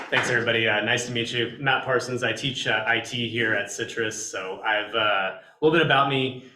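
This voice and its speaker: A man with an American accent talks at a fairly quick pace and medium pitch, with hardly any pauses and fairly even intonation. Noticeable background noise and audible room echo fill the recording. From Texas. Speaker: college professor. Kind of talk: club meeting introduction. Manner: loud.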